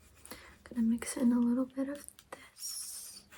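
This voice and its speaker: A soft-spoken, high-pitched woman with monotone, flat intonation over noticeable background noise. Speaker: ASMR creator. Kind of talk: ASMR personal attention role play.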